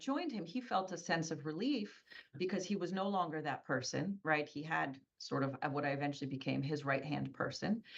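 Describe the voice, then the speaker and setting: A woman's lively intonation at a moderate pace. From US, Polish immigrant family. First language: Polish. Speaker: business owner. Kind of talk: interview.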